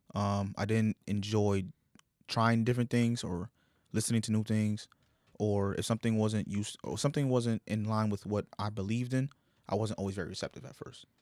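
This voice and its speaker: In a normal speaking voice with an American accent, a man talks at a fairly quick pace, his pitch fairly low and his intonation fairly even, the sound dry and close with no echo. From New York. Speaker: rapper. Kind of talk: casual chat.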